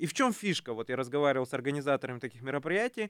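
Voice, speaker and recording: A man's lively intonation, on a very clean recording with a silent background and a dry, close sound with no echo. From Kazakhstan. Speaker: youth movement leader, government adviser. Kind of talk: radio talk show discussion. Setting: radio studio.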